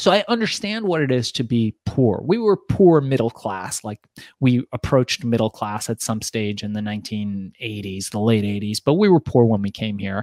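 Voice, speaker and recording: With an American accent and an unremarkable speaking voice, a man talks at medium pitch and a moderate pace with ordinary pitch variation. The sound is dry and close with no echo, and there are hardly any pauses. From Iran, raised in the US from childhood. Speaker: entrepreneur and author. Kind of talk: interview.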